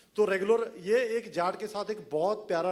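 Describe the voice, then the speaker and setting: A man speaks with a Punjabi accent. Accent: Punjabi-accented Hindi. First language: Punjabi (speaking Hindi). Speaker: film writer. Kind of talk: press event talk.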